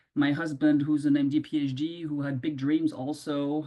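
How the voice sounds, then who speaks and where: With a non-native accent, a woman speaks at a very deep, low pitch in a dark, mellow tone and with fairly even intonation. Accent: noticeable foreign. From Ivory Coast. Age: 50s. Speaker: colorectal surgeon. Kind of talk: interview answer.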